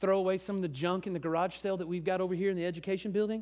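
A high-pitched man with an American accent at a very fast pace, on a very clean recording with a silent background. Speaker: pastor. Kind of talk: sermon. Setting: church.

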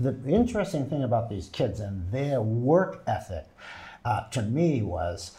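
A man's medium-pitched, dark, mellow, somewhat breathy voice with very wide pitch swings at a fairly slow pace, on a very clean recording with a silent background. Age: 70s. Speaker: actor and theater producer. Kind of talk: interview. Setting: studio.

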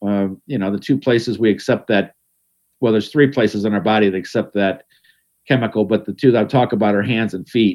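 A man with an American accent talks at a fairly quick pace and fairly low pitch. He has an ordinary speaking voice, and his intonation is fairly even. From Ohio, Cleveland area. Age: 60s. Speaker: garden writer and radio host. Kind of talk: casual interview.

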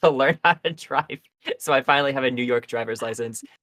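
Dry and close with no echo, a man's unremarkable speaking voice sits at a medium pitch with fairly even intonation. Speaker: podcast host. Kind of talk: casual chat.

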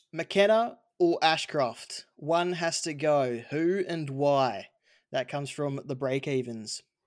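Very slowly and with ordinary pitch variation, a man with an Australian accent speaks at a fairly high pitch on a very clean recording with a silent background. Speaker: fantasy football podcast host. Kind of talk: casual chat.

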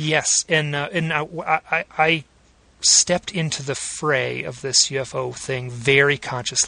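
A man's fairly high voice at a fairly slow pace, with ordinary pitch variation and a dry, close sound with no echo. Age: 40s. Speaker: podcast host. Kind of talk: interview. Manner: halting.

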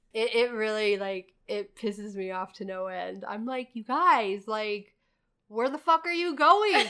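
With an American accent, a woman speaks at a fairly slow pace in a fairly high pitch, her tone bright and sharp and her intonation lively. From Indiana (Lafayette area). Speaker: podcast host and barista. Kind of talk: casual chat. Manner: giggly, laughs often.

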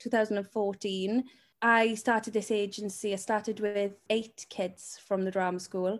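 In a very clean recording with a silent background, a woman speaks fairly slowly at a fairly high pitch. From Welsh valleys. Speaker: talent agent. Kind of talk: casual interview chat.

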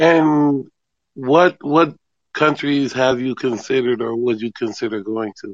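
A man with a normal speaking voice talks at a fairly slow pace. His medium pitch shows ordinary pitch variation. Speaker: podcast host. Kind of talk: casual interview.

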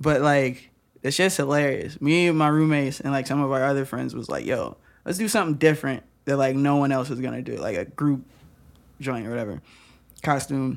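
Heard on a very clean recording with a silent background, a man with an American accent has a normal speaking voice at a fairly high pitch, with ordinary pitch variation and a fairly quick pace. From Michigan (Lansing). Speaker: rapper and dance teacher. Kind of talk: casual chat.

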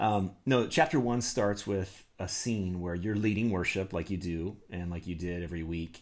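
A man's fairly low-pitched, an ordinary speaking voice, with ordinary pitch variation at a moderate pace. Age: 40s. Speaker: podcast host and pastor. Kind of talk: interview.

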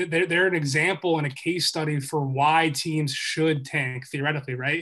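In an American accent, a man with a fairly high pitch and a bright, sharp tone talks at a moderate pace with fairly even intonation over a quiet background. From Philadelphia, US. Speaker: sports journalist and author. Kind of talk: podcast interview.

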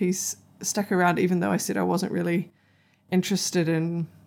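With a New Zealand accent and vocal fry, a woman talks at a fairly quick pace in a fairly low voice with fairly even intonation, on a very clean recording with a silent background. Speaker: podcast co-host. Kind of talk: casual chat. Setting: makeshift home studio.

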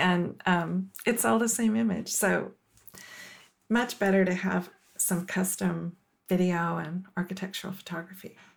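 Woman with an unremarkable speaking voice, medium pitch, ordinary pitch variation and a fairly slow pace. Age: 50s. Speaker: company executive. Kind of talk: podcast interview.

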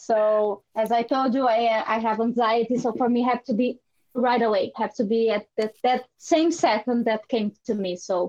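With a Portuguese accent, a woman speaks in a fairly high pitch at very even loudness, her intonation fairly even. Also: moderate pace. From Brazil. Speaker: artist and photographer. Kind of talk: interview.

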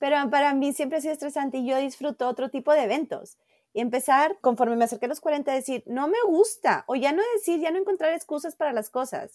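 A woman's high-pitched voice at a very fast pace, with a dry, close sound with no echo, in a very clean recording with a silent background. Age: 40s. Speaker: photographer and academic researcher. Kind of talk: interview.

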